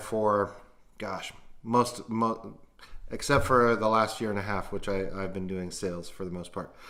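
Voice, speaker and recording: Audible room echo surrounds a man with an American accent. His tone is bright and sharp, his pitch fairly low. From US West Coast, Long Beach, California. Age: 40s. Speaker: podcaster and former cook. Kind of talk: casual vlog monologue. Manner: halting, many fillers.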